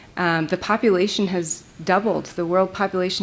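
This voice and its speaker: At a fairly quick pace, a woman with an American accent speaks over noticeable background noise. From US Pacific Northwest, Olympic Peninsula. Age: 40s. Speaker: glass artist. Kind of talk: lecture. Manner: halting.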